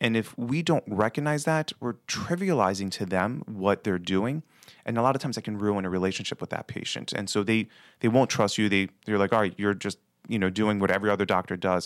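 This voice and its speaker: An ordinary speaking voice with an American accent, at a fairly quick pace with ordinary pitch variation, in a dry, close recording with no echo, very clean with a silent background. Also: man, fairly low pitch for a man. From Baltimore, Maryland. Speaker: pulmonary physician. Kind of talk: interview.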